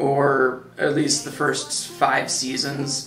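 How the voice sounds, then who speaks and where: Faint music plays in the background, and the room echo is audible. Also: man. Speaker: video reviewer. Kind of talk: casual TV show commentary. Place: home room.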